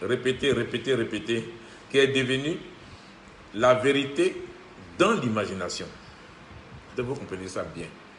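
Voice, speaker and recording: Speaking at a fairly slow pace with long, frequent pauses, a man with a medium-pitched voice and ordinary pitch variation swings widely in loudness, with audible room echo and noticeable background noise. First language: Ivorian local language (French not mother tongue) (speaking French). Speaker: self-styled spiritual teacher. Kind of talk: spiritual monologue. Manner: halting, repetitive.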